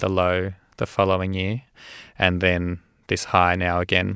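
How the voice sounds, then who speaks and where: A man with an Australian accent, very deep and low in pitch, bright and sharp in tone, monotone and flat, at a fairly slow pace, in a dry, close sound with no echo on a very clean recording with a silent background. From Australia, Melbourne (Caulfield). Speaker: medical doctor and mental health advocate. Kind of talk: interview testimony.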